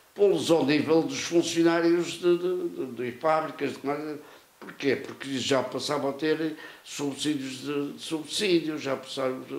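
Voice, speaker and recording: Noticeable background noise sits behind speech that is fairly slow and fairly even in intonation. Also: man, fairly high pitch for a man. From Portugal, Avanca (Aveiro district). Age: 90s. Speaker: retired local politician. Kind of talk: interview. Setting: at his home. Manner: halting, many repetitions.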